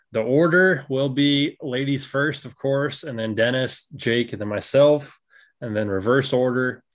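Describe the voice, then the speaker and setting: An unremarkable speaking voice from a man at medium pitch, with ordinary pitch variation and a fairly slow pace, on a very clean recording with a silent background. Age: 20s. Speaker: podcast host. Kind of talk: casual chat.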